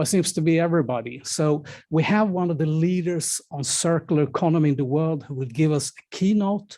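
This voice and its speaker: In a Swedish accent, a man with a dark, mellow tone talks at a fairly quick pace with hardly any pauses and ordinary pitch variation, on a very clean recording with a silent background. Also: fairly high pitch for a man. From Sweden. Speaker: event moderator. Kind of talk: event moderation. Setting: stage with audience.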